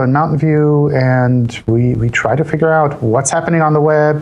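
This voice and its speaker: Audible room echo surrounds a man speaking in an American accent. His pitch is fairly high, with ordinary variation. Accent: American-style. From Switzerland, partly US South as a child. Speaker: search engine company analyst. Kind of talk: interview. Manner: repeats words, casual.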